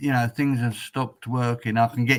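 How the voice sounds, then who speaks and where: With an English accent, a man speaks at a moderate pace and a medium pitch. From England. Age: 60s. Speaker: retired truck driver. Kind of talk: casual chat.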